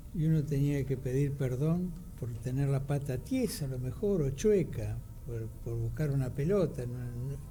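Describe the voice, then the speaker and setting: Room echo is audible around this man's voice. He speaks at a fairly slow pace. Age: 70s. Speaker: radio co-host. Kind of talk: radio discussion.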